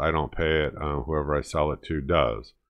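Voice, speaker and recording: A male speaker against a quiet background. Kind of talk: casual vlog chat. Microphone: webcam.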